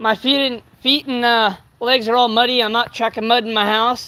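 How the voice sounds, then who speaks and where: An extremely high-pitched man with an American accent, raised and projected, bright and sharp in tone at a moderate pace. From California. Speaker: livestreamer doing yard work. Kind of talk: casual live stream chat. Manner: loud; halting, filler-heavy.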